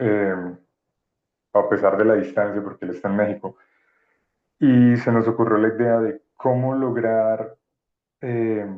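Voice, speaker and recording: A man's medium-pitched voice at a fairly slow pace, with fairly even intonation and long, frequent pauses. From Colombia, Pacific coast. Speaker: anthology editor. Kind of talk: presentation.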